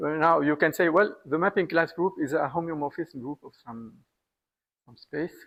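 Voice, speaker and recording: The delivery moves at a moderate pace with ordinary pitch variation. Loudness swings widely from moment to moment. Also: man, fairly high pitch for a man. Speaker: mathematician. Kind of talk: lecture. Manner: halting.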